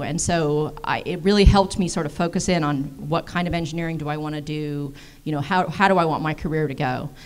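A woman's low-pitched voice with an American accent, fairly even intonation, and a fairly quick pace.

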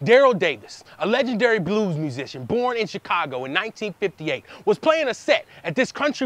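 His pitch is high and swings very widely. The man talks at a fairly quick pace. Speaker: spoken word poet, performer in a poetry duo. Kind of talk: spoken word poetry performance, with call-and-response trading of lines between two poets. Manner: fast-paced, high-energy, rhythmic.

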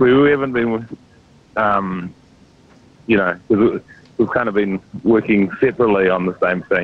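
A man in an ordinary speaking voice, fairly low in pitch, at a moderate pace with ordinary pitch variation and a dry sound with no echo. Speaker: actor, guest. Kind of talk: interview answer. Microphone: phone line.

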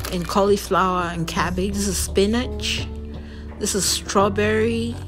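Over clear background music, a woman talks at a fairly slow pace. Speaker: health vlogger. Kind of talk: casual show-and-tell vlog. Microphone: phone near.

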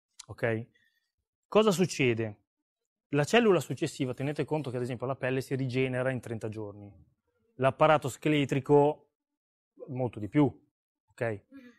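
A man at a moderate pace, with long, frequent pauses, over a quiet background. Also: ordinary pitch variation. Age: 40s. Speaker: seminar speaker; speaker. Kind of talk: seminar talk. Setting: stage with audience. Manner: animated. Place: hall. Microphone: lapel.

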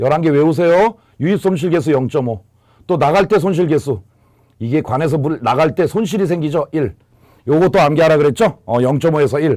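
In a very clean recording with a silent background, a man speaks at a moderate pace with a fairly high pitch and a dark, mellow tone. His loudness stays very even, and his pitch varies in an ordinary way. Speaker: exam prep lecturer. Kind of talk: lecture.

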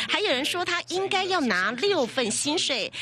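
A woman speaks in a raised, projected voice with very wide pitch swings. Her pace is moderate, and there is noticeable background noise. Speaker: TV news reporter. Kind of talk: TV news report voiceover.

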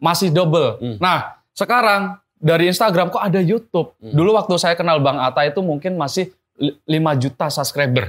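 This man has a high pitch and lively intonation. He speaks at a moderate pace against a quiet background. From Central Java (Blora); Central Java. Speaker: entrepreneur; guest. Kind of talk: interview. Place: studio.

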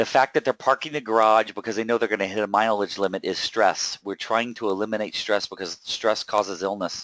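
With a plain, everyday voice, a man of fairly low pitch speaks at a fairly quick pace with fairly even intonation, the sound dry and close with no echo and the background quiet. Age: 40s. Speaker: wealth coach hosting a webinar. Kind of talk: webinar presentation. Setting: online webinar with screen share.

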